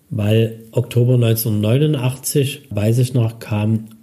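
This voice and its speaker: His tone is dark and mellow, his voice somewhat breathy, his pitch medium. The man's intonation stays fairly even. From Dresden, Saxony, eastern Germany. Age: 50s. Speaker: city archive director. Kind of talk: interview.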